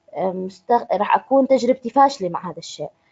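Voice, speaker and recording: Very wide pitch swings mark this speech in a Jordanian accent. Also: woman. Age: 20s. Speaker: trainer. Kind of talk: online introductory training session. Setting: online conference call.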